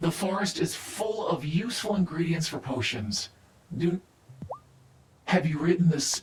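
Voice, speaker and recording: Set in a put-on character voice at a middle pitch, the delivery is broken by long, frequent pauses. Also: moderate pace. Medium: video game. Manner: measured, authoritative.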